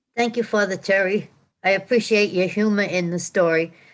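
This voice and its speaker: With a New Jersey accent, a woman speaks with fairly even intonation. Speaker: retreat participant. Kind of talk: casual chat.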